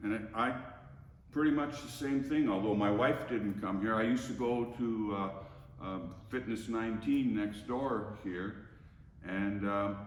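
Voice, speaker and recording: A man's fairly low voice at a fairly slow pace, with ordinary pitch variation, audible room echo and noticeable background noise. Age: 70s. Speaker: gym member. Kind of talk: testimony. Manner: halting, stammering.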